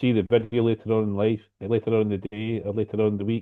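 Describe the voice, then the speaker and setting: A man speaks at a very fast pace with a Scottish accent, his pitch medium. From Scotland, near Glasgow. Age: 60s. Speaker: lightning strike survivor, speaker. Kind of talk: personal story talk.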